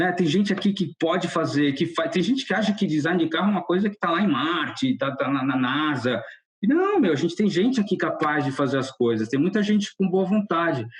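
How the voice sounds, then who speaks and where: High-pitched male speech with lively intonation, very even loudness and a fairly quick pace. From Brazil. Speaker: car designer. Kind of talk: podcast interview. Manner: casual, halting with false starts.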